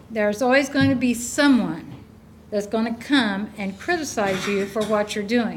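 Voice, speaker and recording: At a moderate pace, a woman speaks in a fairly high voice, with audible room echo. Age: 70s. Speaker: resident speaking at public hearing. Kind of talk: public comment at council meeting. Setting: council meeting room.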